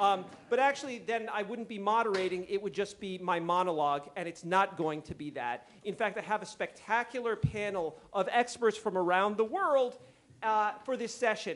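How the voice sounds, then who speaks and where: A loud, high male voice at a moderate pace, with ordinary pitch variation. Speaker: conference panel moderator. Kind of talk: panel moderation. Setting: conference stage with audience.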